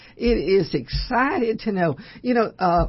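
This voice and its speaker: This woman's voice is somewhat breathy. Her intonation sounds lively. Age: 80s+. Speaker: long-time radio host. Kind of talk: radio talk show. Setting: studio.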